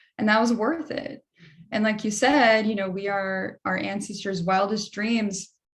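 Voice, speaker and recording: The speaker is a woman with a somewhat breathy voice. She talks at a moderate speed. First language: Spanish. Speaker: political candidate, panelist. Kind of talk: panel discussion. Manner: animated.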